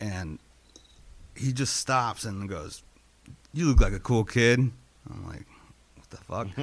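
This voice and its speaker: With long, frequent pauses, a man with an American accent speaks at a very slow pace and medium pitch, using ordinary pitch variation. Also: big swings in loudness. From Los Angeles (Inglewood). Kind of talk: casual chat.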